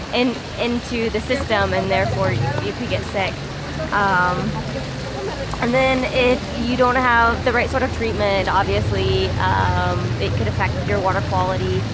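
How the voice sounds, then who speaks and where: A woman speaks at a fairly slow pace. The sound is dry with no echo, and the background noise is loud. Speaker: travel vlogger. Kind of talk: casual vlog chat. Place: street. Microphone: phone near.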